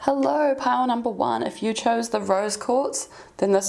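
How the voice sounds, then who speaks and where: Her pitch swinging very widely, a woman speaks in a New Zealand accent. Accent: Kiwi. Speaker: tarot reader. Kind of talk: tarot reading.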